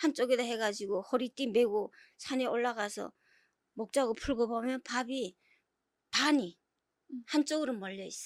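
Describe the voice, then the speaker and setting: Recorded very cleanly against a silent background with a dry, close sound and no echo, a woman speaks fairly slowly at a high pitch with ordinary pitch variation. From North Korea, South Hamgyong province. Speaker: North Korean defector. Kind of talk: interview.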